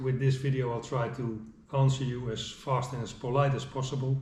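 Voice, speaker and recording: A man with a Dutch accent, somewhat breathy, at medium pitch and a moderate pace, in a monotone, flat intonation, with audible room echo. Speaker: angler. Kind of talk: tutorial. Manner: halting.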